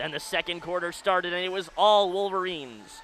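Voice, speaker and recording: Loud and high-pitched, a man talks with fairly even intonation. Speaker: college radio sports play-by-play announcer. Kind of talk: live commentary. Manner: fast.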